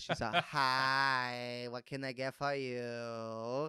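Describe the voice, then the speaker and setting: In a put-on character voice, the speaker drags along at a very slow pace, raspy and monotone with flat intonation. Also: man, medium pitch for a man. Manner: friendly, cheerful.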